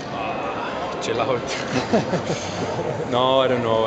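Loud background noise surrounds a man speaking. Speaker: professional cyclist. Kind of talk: interview answer. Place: hall. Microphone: handheld.

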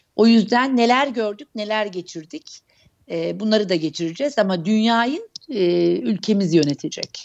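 Lively intonation runs through a woman's fairly high voice. She speaks at a fairly slow pace. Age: 40s. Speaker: astrologer; guest. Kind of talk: interview. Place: home room. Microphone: earbuds.

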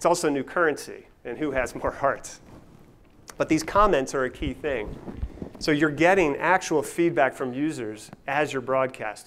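A man talks at a moderate pace, his pitch shifting in an ordinary way.

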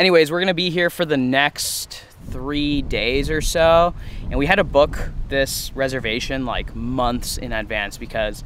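Speech comes at a fairly slow pace with ordinary pitch variation. The sound is dry with no echo, over light background noise. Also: man. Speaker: vlogger. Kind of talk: casual vlog chat. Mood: cheerful, laughing. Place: forest. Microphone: phone near.

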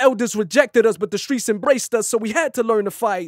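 Against a quiet background, a man with an American accent talks at a fairly quick pace in an extremely high pitch, with ordinary pitch variation and a dry sound with no echo. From United States. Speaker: former rapper turned poet. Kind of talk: spoken word poetry. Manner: raw, unaccompanied. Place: studio. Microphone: studio mic.

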